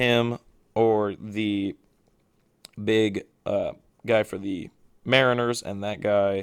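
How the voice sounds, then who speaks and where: A man mumbles in a put-on character voice, fairly low-pitched and flat in a monotone. He talks very slowly, with long, frequent pauses. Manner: mumbling.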